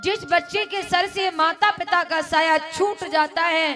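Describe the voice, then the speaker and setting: A woman's raised, projected voice with music in the background. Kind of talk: devotional storytelling (katha) narration.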